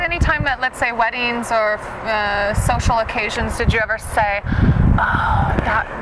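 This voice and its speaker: A woman with a fairly high pitch speaks fairly slowly, with hardly any pauses. Noticeable background noise is present. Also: ordinary pitch variation. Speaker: interviewer, dance channel host. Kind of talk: interviewer questions. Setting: outdoors.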